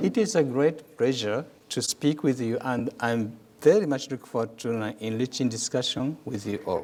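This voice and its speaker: With a Japanese accent, a man speaks at a moderate pace and ordinary pitch variation. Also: medium pitch for a man. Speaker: ambassador. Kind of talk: lecture. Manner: reads from a prepared script.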